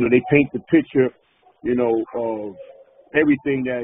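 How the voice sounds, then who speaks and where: With a northern US accent, this man speaks in a fairly even intonation. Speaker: podcast host, interviewer. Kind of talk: interview. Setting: phone call.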